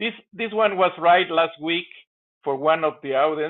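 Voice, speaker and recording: This man's pitch is high. His intonation is lively. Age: 50s. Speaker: live show host. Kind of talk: casual chat. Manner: animated.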